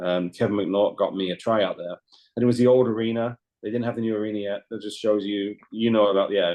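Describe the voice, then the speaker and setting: A man with a London accent speaks at a very fast pace. His pitch is fairly low and his intonation monotone and flat. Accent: southern English (London). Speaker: former ice hockey goaltender. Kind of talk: podcast interview.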